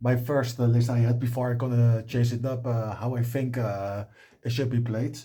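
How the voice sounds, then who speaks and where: A man's somewhat breathy voice at medium pitch, dark and mellow in tone, with a non-native accent, monotone, flat intonation and a moderate pace. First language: not English. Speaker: card game content creator. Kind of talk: deck profile tutorial. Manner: halting, many filler sounds.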